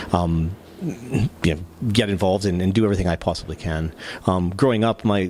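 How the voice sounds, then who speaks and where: Over noticeable background noise, a man with a very deep, low pitch and fairly even intonation speaks at a very fast pace broken by long, frequent pauses. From Canada, Saskatchewan. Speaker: lacrosse academy founder. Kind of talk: podcast interview. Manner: halting, many fillers.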